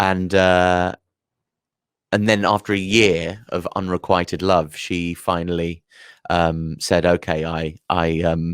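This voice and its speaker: Very slowly and in a monotone, flat delivery, a man speaks with a London accent at a very deep, low pitch, the sound dry and close with no echo and the background silent in a very clean recording. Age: 30s. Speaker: comedian. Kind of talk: casual chat. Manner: halting.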